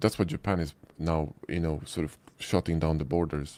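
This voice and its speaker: A man's very deep, low voice with a dark, mellow tone and a Polish accent, fairly even intonation at a moderate pace, dry and close with no echo. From Poland. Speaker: 3D modeling instructor. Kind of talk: live stream Q&A.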